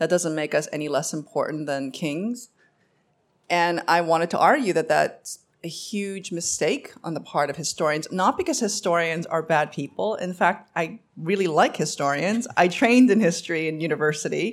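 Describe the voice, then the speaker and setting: A woman with a New York accent talks at a moderate pace with ordinary pitch variation. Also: fairly low pitch for a woman, very clean recording, silent background. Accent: New York American English. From US Northeast, Queens, New York. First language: Korean. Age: 50. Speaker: novelist. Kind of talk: live panel discussion. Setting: stage with audience.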